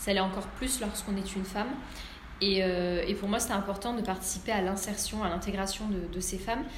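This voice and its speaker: Over noticeable background noise and audible room echo, a woman at medium pitch speaks with very even loudness and fairly even intonation. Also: fairly quick pace. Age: 30s. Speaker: restaurant owner. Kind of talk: interview. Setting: at her restaurant.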